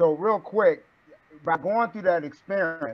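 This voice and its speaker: This man speaks at a fairly slow pace in a high voice. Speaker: student. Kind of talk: class discussion. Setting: video call. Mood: reflective, conversational. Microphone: video call.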